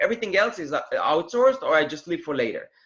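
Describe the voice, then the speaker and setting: This man talks at a very fast pace with a non-native accent. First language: not English. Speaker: Amazon seller, former student of host. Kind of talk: interview. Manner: halting.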